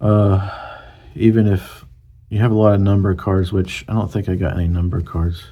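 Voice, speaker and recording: A somewhat breathy man's voice, fairly low in pitch, with an American accent. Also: moderate pace. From US South. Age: 40s. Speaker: YouTuber, card collector. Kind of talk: casual commentary, card opening. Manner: hesitant, many fillers.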